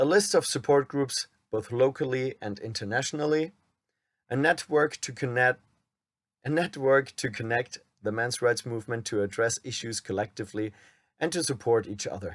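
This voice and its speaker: With a German accent, a man speaks at a medium pitch and a moderate pace, with ordinary pitch variation and a dry, close sound with no echo. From Germany. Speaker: men's rights activist, YouTuber. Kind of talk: reading a script aloud.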